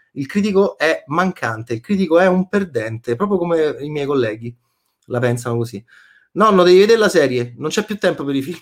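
With very wide pitch swings, a man speaks at a fairly high pitch and a fairly quick pace. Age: 40s. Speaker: film critic. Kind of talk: casual chat. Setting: live stream. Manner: animated.

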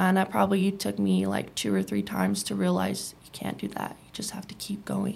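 This woman talks at a fairly quick pace with hardly any pauses. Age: 20s. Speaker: former addiction treatment patient. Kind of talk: interview.

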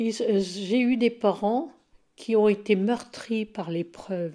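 A woman's fairly high, dark, mellow voice at a very slow pace, with fairly even intonation. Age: 70s. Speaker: interviewee. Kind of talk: life story interview. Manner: calm, measured.

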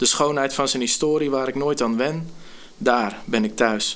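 With a plain, everyday voice, a man speaks at a moderate pace and with ordinary pitch variation. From Netherlands, Gorinchem. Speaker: youth care worker and spoken word poet. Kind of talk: casual chat.

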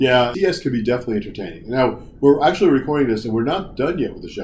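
A man talks fast at medium pitch, his slightly mellow voice making big pitch swings.

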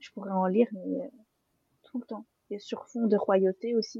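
A woman's somewhat breathy, dark, mellow voice at a fairly high pitch, with dry, close sound and no echo. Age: 20s. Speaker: literary influencer and critic. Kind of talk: casual roundtable discussion.

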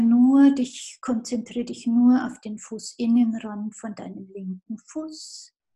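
A woman's high-pitched voice with a dark, mellow tone, at a very slow pace. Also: hardly any pauses, big swings in loudness. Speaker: physiotherapist and movement teacher. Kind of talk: casual interview; guided movement lesson.

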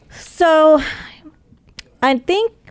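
This woman talks with an American accent. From North Carolina (Charlotte). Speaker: radio host. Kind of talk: interview. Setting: studio.

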